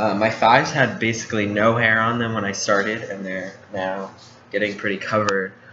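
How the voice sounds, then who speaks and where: Monotone, flat speech at a moderate pace, with room echo and noticeable background noise. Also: man, fairly low pitch for a man. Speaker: vlogger. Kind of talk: casual vlog. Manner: halting.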